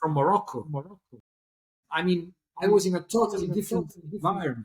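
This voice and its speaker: In an Italian accent, the speaker moves at a fairly quick pace with lively intonation. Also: man, high pitch for a man. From Italy, Naples area. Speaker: pianist. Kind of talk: interview. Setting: remote call. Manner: halting, repetitive. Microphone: poor sound quality.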